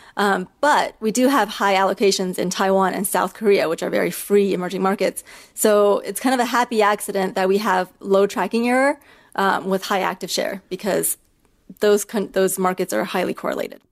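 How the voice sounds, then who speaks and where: A woman with an ordinary speaking voice and an American accent, at a medium pitch and a fairly quick pace, with fairly even intonation. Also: very clean recording, silent background. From China and the US. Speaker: ETF founder. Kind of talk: interview.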